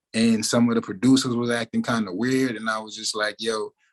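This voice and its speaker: With an American accent, a man talks at a medium pitch in a monotone, flat delivery. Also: dry, close sound with no echo. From New Orleans, Louisiana. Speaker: recording artist. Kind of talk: interview, casual chat.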